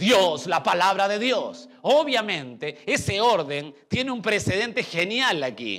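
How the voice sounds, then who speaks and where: In a high, bright, sharp voice, a man speaks at a very slow pace with very wide pitch swings and hardly any pauses. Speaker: pastor. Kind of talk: sermon.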